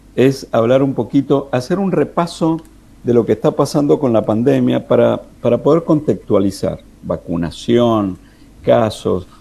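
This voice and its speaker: Marked by vocal fry and a dark, mellow tone, the voice moves at a fairly slow pace with lively intonation and very even loudness. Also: man, medium pitch for a man. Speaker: economics commentator. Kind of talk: radio interview commentary. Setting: remote call into radio. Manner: soft-spoken.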